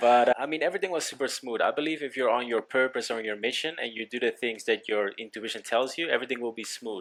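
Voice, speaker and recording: The speaker talks very fast in a Dutch accent. Pitch variation is ordinary. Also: man. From Netherlands, Amsterdam. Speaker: business coach. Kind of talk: casual interview.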